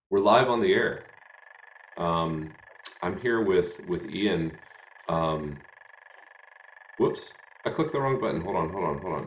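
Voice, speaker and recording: Audible room echo surrounds a man speaking at a very slow pace. He has an American accent and lively intonation. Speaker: hymn show host. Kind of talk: casual chat. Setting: live stream. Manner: halting.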